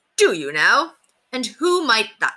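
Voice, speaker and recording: This woman puts on a character voice pitched high. She speaks at a fairly slow pace. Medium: read story. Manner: formal, archaic courtly speech.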